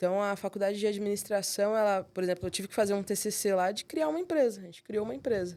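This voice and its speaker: A woman at medium pitch with a Rio de Janeiro accent, dark and mellow in tone, very fast and with ordinary pitch variation. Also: hardly any pauses, very clean recording, silent background. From São Paulo. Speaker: accountant, firm co-founder. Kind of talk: interview answer. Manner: casual, relaxed.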